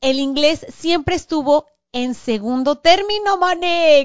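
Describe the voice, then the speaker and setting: A high-pitched woman at a very slow pace, with ordinary pitch variation. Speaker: podcast host. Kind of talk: casual chat.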